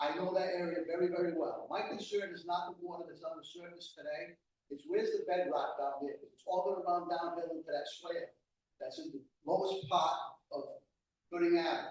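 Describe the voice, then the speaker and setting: Audible room echo around a man speaking fairly quickly, with big swings in loudness. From Rhode Island. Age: 60s. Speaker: resident speaking at public hearing. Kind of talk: public comment at town board hearing. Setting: town hall meeting with microphone.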